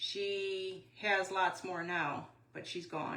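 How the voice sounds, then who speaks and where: In a room with audible echo, a woman speaks at a medium pitch. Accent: American. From Wisconsin. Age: 60s. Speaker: craft YouTuber. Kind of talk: live craft tutorial. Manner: casual, chatty.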